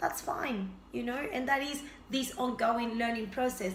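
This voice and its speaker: A woman speaks at a moderate pace with a fairly high pitch. Audible room echo and noticeable background noise fill the recording. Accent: Spanish. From Argentina. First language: Spanish. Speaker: health and fitness vlogger. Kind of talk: casual vlog introduction.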